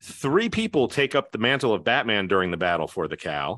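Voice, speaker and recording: Against a quiet background, a man with an American accent speaks at a fairly quick pace, his medium-pitched voice bright and sharp in tone. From New Jersey. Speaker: trivia quiz host. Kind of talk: quiz show hosting.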